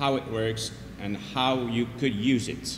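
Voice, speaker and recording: A man with a French accent and fairly even intonation, set in audible room echo. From France. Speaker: neonatologist and epidemiologist teaching a workshop. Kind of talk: workshop lecture. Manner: hesitant with fillers.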